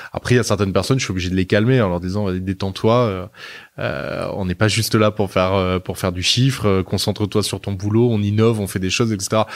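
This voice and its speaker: Over a very clean recording with a silent background, a man speaks at a fairly quick pace and fairly low pitch with fairly even intonation. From southern France, Nice. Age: 30s. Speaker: media group executive. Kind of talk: interview. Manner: hesitant, many fillers.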